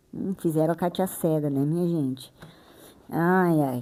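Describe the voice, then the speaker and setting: A woman's dark, mellow voice in a very clean recording with a silent background. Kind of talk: bible reading and explanation. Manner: sped up to 1.6x playback; casual, chatty.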